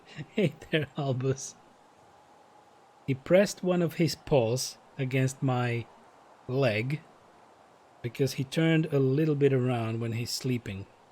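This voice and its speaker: A man's somewhat breathy, medium-pitched voice with ordinary pitch variation and long, frequent pauses. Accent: non-native. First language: not English. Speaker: game streamer. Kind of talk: live gameplay stream, reading game dialogue aloud.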